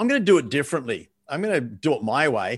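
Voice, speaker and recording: Very fast talk from a man over a quiet background. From Australia. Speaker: sales coach and author. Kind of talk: interview.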